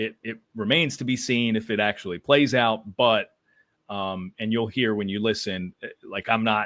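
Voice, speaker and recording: A man speaks at medium pitch with an American accent and fairly even intonation. His pace is moderate, and it is an unremarkable speaking voice. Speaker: baseball broadcaster and podcaster. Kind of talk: podcast interview.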